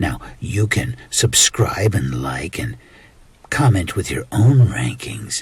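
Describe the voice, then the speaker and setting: In a put-on character voice, a man speaks very slowly at a fairly low pitch, his tone playful and sinister, with very wide pitch swings. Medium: role play. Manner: taunting, playful, sinister.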